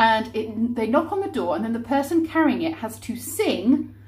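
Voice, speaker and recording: A woman speaks at a moderate pace. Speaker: vlogger. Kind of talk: casual vlog chat. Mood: cheerful, animated. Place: kitchen. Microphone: phone near.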